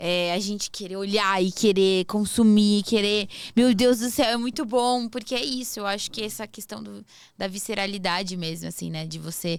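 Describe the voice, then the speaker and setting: A plain, everyday voice at a moderate pace, with ordinary pitch variation, big swings in loudness, and a very clean recording over a silent background. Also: woman, medium pitch for a woman. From southern Brazil. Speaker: podcast host. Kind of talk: podcast interview.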